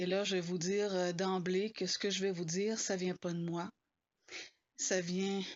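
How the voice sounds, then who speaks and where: A woman's medium-pitched voice in a Quebec accent, with monotone, flat intonation. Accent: Québécois. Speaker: spiritual blogger. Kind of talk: informal spoken talk. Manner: hesitant, many fillers.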